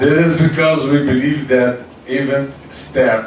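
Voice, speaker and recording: A man speaks at a fairly slow pace. Noticeable background noise and audible room echo surround his voice. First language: Portuguese. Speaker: foundation founder. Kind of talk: speech. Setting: event with audience. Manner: halting non-native English.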